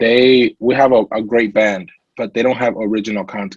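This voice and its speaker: A man speaks with a Latin American accent in a dry, close sound with no echo. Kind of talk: interview testimony.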